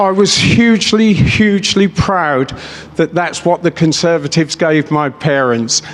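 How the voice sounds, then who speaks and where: A man with a southern English accent, high pitch, ordinary pitch variation and a fairly slow pace, over noticeable background noise. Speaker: businessman, rally speaker. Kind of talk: political rally speech. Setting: stage with audience. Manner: off the cuff, passionate.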